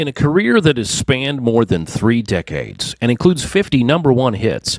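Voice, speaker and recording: Fairly quick delivery with very wide pitch swings, dry sound with no echo, and a quiet background. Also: man. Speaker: podcast host. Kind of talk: interview.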